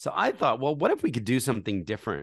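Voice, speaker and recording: With vocal fry and very wide pitch swings, a man talks in a quiet, dry, close recording with no echo. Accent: American. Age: 40s. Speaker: charity founder. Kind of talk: interview.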